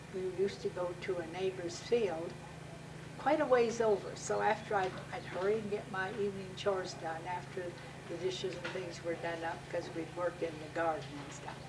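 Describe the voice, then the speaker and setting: There is audible room echo and noticeable background noise as a woman talks at a moderate pace, her medium pitch showing ordinary variation. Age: 70s. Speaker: interviewee. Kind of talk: family oral-history interview.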